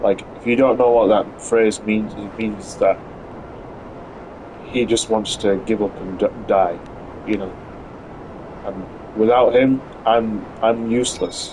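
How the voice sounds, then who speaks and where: With a British accent, a man talks at a very slow pace in a monotone, flat delivery broken by long, frequent pauses, over noticeable background noise. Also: medium pitch for a man. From UK. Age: 30s. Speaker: gaming streamer. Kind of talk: casual live stream chat. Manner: halting, many fillers.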